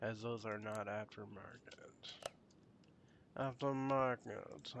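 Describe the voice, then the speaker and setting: Putting on a nasal character voice, a man speaks at a very slow pace with a medium pitch. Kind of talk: posh.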